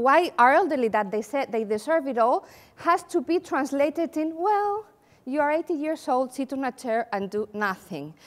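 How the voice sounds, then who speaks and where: Here a woman talks at a moderate pace with a Spanish accent. Her pitch is high and swings very widely. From Spain. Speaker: occupational therapist and company founder. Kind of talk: conference presentation. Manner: animated.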